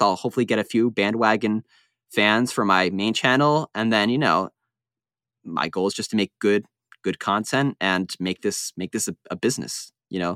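In a very clean recording with a silent background, a man with a bright, sharp tone shows ordinary pitch variation in a dry, close sound with no echo. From Long Island, New York. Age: 20s. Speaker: tennis YouTuber. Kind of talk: interview.

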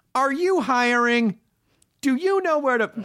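The speaker puts on a character voice with a high pitch. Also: moderate pace. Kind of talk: salesy ad-read. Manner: promotional.

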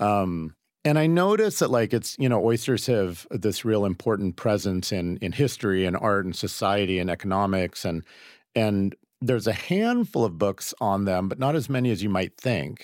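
Over a very clean recording with a silent background, a man speaks with an American accent. His is a plain, everyday voice, fairly low in pitch, at a moderate pace. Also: ordinary pitch variation. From US Pacific Northwest, Seattle. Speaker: food writer and cookbook author. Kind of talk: casual interview.

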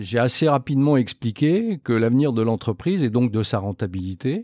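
At a fairly slow pace, a man with medium pitch and lively intonation is heard in a dry, close, very clean recording with no echo and a silent background. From France, Lorraine (Metz). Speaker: company executive. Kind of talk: interview. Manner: hesitant with fillers.

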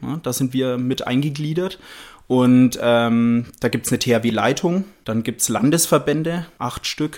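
A man in a medium pitch at a very slow pace with ordinary pitch variation on a very clean recording with a silent background. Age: 30s. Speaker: architect and disaster relief volunteer. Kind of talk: interview. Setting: studio.

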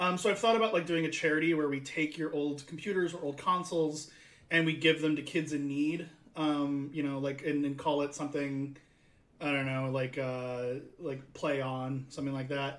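Fairly high in pitch for a man, an unremarkable speaking voice with an American accent holds fairly even intonation at a moderate pace. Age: 30s. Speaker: podcast host. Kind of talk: casual chat.

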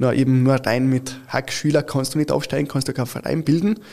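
On a very clean recording with a silent background, a man with a fairly high pitch and a dark, mellow tone speaks with fairly even intonation. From Italy, Turin; since age 12 in Carinthia, Austria. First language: Italian (speaking German). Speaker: futsal club founder and official. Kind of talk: interview. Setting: studio.

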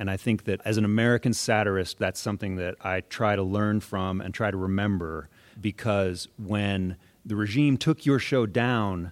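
A man with an ordinary speaking voice at fairly low pitch and moderate pace, with ordinary pitch variation, on a very clean, dry, close recording with a silent background and no echo. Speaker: comedy writer. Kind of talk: live panel discussion. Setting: stage with audience.

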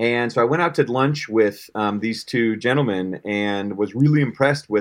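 With an American accent, a man speaks in a normal speaking voice of medium pitch with ordinary pitch variation. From Colorado. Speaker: startup founder and CEO. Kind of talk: casual interview.

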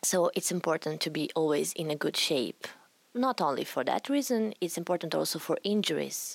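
Speaking with an Italian accent, a woman uses a fairly low pitch with very wide pitch swings, vocal fry and very even loudness at a moderate pace. The very clean recording has a silent background and a dry, close sound with no echo. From Italy. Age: 20s. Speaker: retired rhythmic gymnast. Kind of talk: interview.

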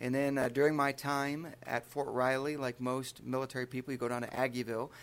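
A man with a Midwestern American accent speaks at a fairly quick pace with a medium pitch, on a very clean recording with a silent background. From Michigan (Charlotte, near Lansing). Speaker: state highway patrol trooper. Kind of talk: casual interview. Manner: animated.

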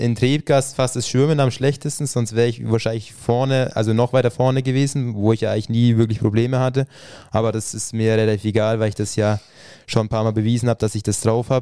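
Fairly even intonation marks this voice. It is an ordinary speaking voice. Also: man. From Franconia, Bavaria (village near Thalmässing). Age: 20s. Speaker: triathlete. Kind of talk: casual interview. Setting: home podcast studio.

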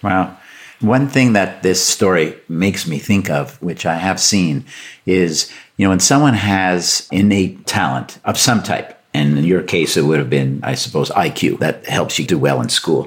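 With a Canadian accent, a man with a very deep, low voice and vocal fry speaks at a fairly slow pace using lively intonation. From Canada. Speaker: podcast host and business professor. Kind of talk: interview conversation.

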